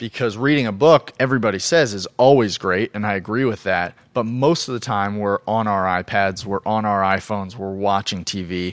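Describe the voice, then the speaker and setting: In a very clean recording with a silent background and a dry, close sound with no echo, a man with an American accent talks at a moderate pace with hardly any pauses. He has a normal speaking voice, fairly low in pitch, with ordinary pitch variation. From US Southwest (Phoenix, Arizona). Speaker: physical therapist. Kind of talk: interview.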